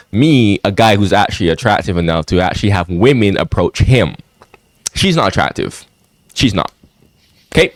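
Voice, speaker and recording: Speaking at a moderate pace with long, frequent pauses, a man with an American accent has a fairly low pitch, lively intonation and an animated tone, in a dry, close sound with no echo. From outside US. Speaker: YouTube commentator. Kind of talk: reaction commentary. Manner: animated, repetitive.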